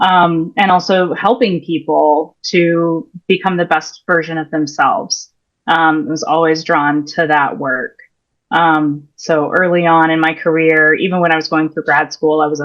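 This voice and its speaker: Speaking slowly-ish with an American accent, a woman keeps a fairly low pitch and fairly even intonation at a fairly slow pace. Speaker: career and leadership coach. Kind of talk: interview. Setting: podcast. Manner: hesitant, many fillers.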